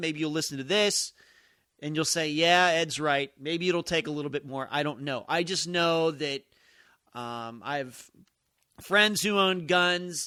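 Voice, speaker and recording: At a fairly slow pace, the voice comes through in a bright, sharp tone with ordinary pitch variation, on a very clean recording with a silent background. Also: man. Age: 40s. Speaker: political podcaster. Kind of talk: casual monologue. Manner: conversational with fillers.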